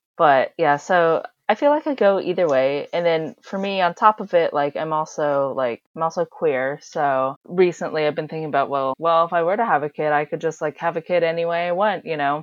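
A woman with an American accent has a plain, everyday voice at a fairly low pitch, with ordinary pitch variation. She speaks with hardly any pauses. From USA, adopted from China. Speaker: podcast guest, international adoptee. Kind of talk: casual chat.

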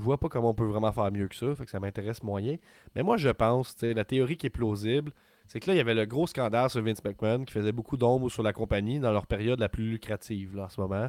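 A man speaks very fast at a medium pitch with ordinary pitch variation, in a dry, close recording with no echo, very clean and over a silent background. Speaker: wrestling podcast co-host. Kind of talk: casual chat. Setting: live stream. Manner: animated.

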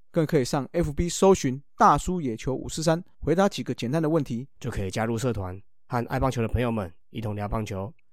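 A man with a plain, everyday voice talks at a fairly quick pace and medium pitch. His intonation is lively, and the recording is very clean with a silent background. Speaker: baseball podcast host. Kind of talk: casual chat.

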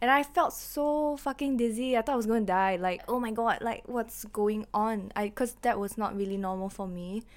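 A woman speaks in an ordinary speaking voice, fairly high-pitched, with ordinary pitch variation, at a moderate pace and with hardly any pauses, on a very clean recording with a silent background. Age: 20s. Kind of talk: casual chat.

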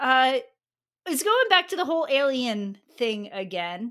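A woman's high, bright, sharp voice, raised and projected, animated in tone at a fairly slow pace, in a very clean recording with a silent background. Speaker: podcast host. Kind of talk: casual chat. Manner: animated, joking.

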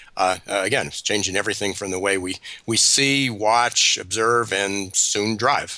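A man's voice at a fairly slow pace, with fairly even intonation and noticeable background noise. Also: fairly low pitch for a man. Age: 60s. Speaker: business consultant and author. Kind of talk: radio interview.

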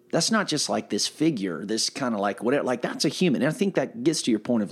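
A man with a South Carolina accent talks at a very fast pace with very wide pitch swings. The recording is very clean, with a silent background. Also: hardly any pauses. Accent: Southern US (South Carolina). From US South, upstate South Carolina (Pelzer). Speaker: pastor. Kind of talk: casual chat.

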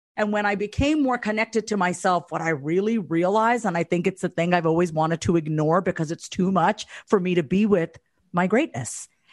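A woman speaks in an unremarkable speaking voice at medium pitch, with ordinary pitch variation and a fairly quick pace, the sound dry and close with no echo against a quiet background. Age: 30s. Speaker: mindset coach and therapist. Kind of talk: interview.

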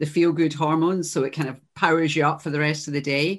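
Against a quiet background, a woman with a Glasgow accent speaks at a very fast pace in a very deep, low pitch. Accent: Scottish (Glasgow). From Glasgow, Scotland. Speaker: podcast host and coach. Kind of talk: interview.

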